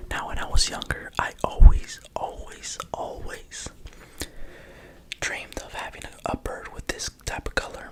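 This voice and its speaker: Someone whispers at a fairly slow pace against noticeable background noise. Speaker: pigeon fancier. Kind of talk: ASMR whisper video. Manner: whispered; soft-spoken.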